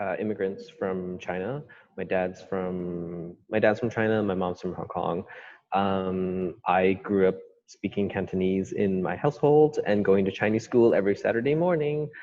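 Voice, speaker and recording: A man's normal speaking voice, fairly low in pitch, with ordinary pitch variation at a moderate pace. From Vancouver, Canada. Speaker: author and filmmaker. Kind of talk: interview conversation. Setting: video call.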